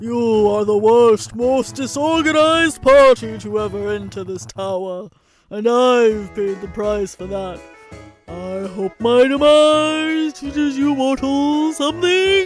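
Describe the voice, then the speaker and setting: In a put-on character voice, a man talks fairly slowly with an extremely high, raspy pitch while faint music plays behind him. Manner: weary, scolding.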